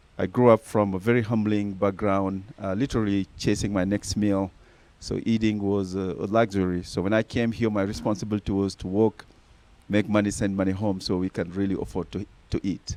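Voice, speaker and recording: This man has a strong Senegalese accent and a fairly low pitch with a dark, mellow tone. His delivery is fairly quick and monotone, with flat intonation. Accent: thick Senegalese. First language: Senegalese native language, also French. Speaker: nonprofit founder. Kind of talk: interview.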